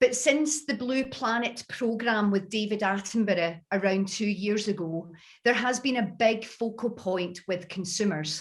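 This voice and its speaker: With a Scottish accent, a woman with a fairly high pitch and ordinary pitch variation speaks at a fairly slow pace with hardly any pauses, against a quiet background. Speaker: beauty industry speaker. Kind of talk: webinar presentation. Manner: clear, deliberately careful.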